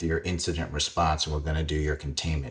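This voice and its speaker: A man with a New York accent and a very deep, low pitch, somewhat breathy, in a monotone, flat intonation. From Queens, New York. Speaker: cybersecurity executive. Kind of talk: interview.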